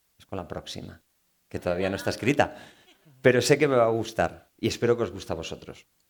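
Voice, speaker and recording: A man with a Galician accent talks at a fairly quick pace, his intonation lively and his tone animated. He leaves long, frequent pauses. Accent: Galician Spanish accent coming out. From Galicia, Spain. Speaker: novelist. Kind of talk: book talk Q&A with audience. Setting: live event with audience.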